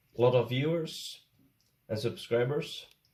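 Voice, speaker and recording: A man with a Swedish accent speaks in a somewhat breathy, dark, mellow tone. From Sweden. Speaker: YouTuber, angler. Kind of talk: casual tutorial vlog.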